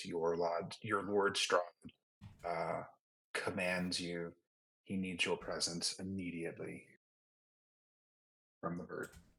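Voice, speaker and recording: Putting on a character voice, a man growls at a very deep, low pitch, moving at a fairly slow pace with long, frequent pauses. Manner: commanding, menacing.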